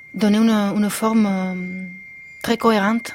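With noticeable background noise, a woman talks at a very slow pace with fairly even intonation. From Spain. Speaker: composer and musician. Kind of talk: radio interview. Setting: studio. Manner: halting.

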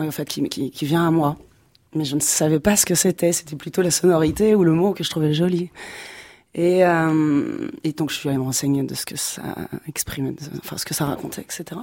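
With a very deep, low pitch and a dark, mellow tone, a woman speaks in fairly even intonation on a very clean recording with a silent background. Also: moderate pace. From provincial France. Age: 40s. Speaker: singer. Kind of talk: radio interview. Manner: casual, slangy.

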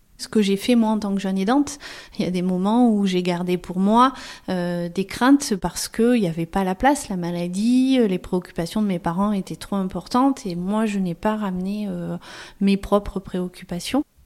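Her normal speaking voice moves at a moderate pace as the woman talks with medium pitch and ordinary pitch variation. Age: 40s. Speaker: family caregiver and social worker. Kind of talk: testimony.

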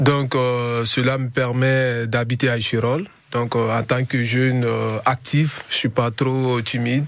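Over noticeable background noise, a man speaks very slowly at a medium pitch, his intonation monotone and flat. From Guinea. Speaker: young jobseeker. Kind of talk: radio interview. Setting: radio studio. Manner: halting.

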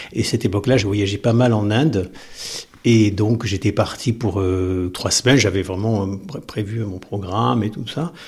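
Somewhat breathy, a man talks at a moderate pace in a fairly low pitch with ordinary pitch variation. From southern France coast. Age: 50s. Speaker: teacher. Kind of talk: personal testimony.

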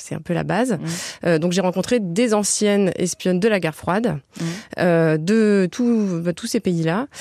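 A woman's dark, mellow tone at a fairly slow pace. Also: medium pitch for a woman, ordinary pitch variation. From Toulouse, southern France. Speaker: journalist and author. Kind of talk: radio interview.

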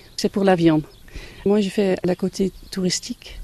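A woman's medium-pitched voice has a dark, mellow tone and a dry, close sound with no echo. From Netherlands. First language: Dutch (speaking French). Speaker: farm campsite owner. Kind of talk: interview.

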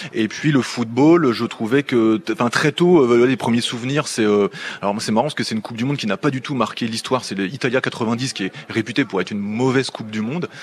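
A man at medium pitch with ordinary variation, at a fairly quick pace, over noticeable background noise. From southern Picardy, France (between Clermont and Chantilly). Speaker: sports commentator and journalist. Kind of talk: radio interview. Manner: hesitant, with frequent fillers and repetitions.

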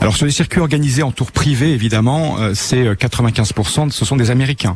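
There is noticeable background noise as a man speaks at a fairly slow pace. His pitch varies in an ordinary way. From Normandy, France (Bayeux). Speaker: tour guide. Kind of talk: radio interview. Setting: live outside broadcast.

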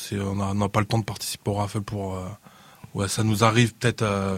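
Dry and close with no echo, this very clean recording with a silent background has a man speaking at a fairly quick pace in a fairly low, monotone, flat voice. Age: 40s. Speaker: sneaker reseller, shop owner. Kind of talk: casual panel discussion.

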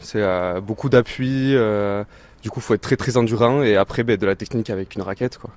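Heard dry and close with no echo, a man speaks at a moderate pace in a plain, everyday voice. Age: 20s. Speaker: amateur racquetball player. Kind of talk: casual interview.

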